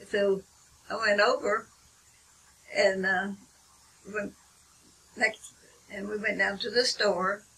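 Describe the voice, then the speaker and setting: A woman with an American accent talks at a very slow pace, leaving long, frequent pauses. Her pitch is medium, and there is noticeable background noise. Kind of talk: interview answer.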